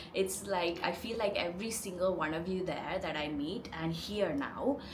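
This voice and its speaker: The speaker has an Indian accent and ordinary pitch variation. Room echo and background noise are both noticeable. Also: woman. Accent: Indian English accent, rolled R's. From India, Chennai. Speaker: lifestyle vlogger. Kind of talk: casual vlog talk to camera. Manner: chatty, lots of filler 'like'.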